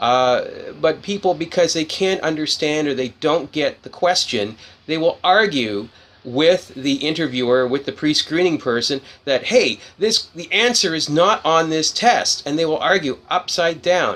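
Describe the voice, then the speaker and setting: At a fairly slow pace, a fairly high-pitched man speaks with lively intonation. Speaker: career advice speaker. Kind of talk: impromptu talk to camera. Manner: unscripted, hesitant with fillers; blunt.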